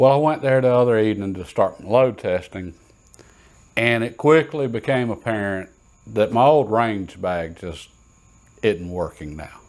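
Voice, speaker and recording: In a relaxed tone with a Southern US accent, a man talks with lively intonation, big swings in loudness and long, frequent pauses. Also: medium pitch for a man, moderate pace. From US South. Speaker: shooting and reloading YouTuber. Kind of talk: casual show-and-tell tutorial. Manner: relaxed, conversational with hesitations.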